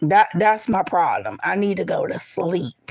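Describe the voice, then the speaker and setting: A loud woman at a fairly slow pace. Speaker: live streamer. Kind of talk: casual live stream chat. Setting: livestream, lying down.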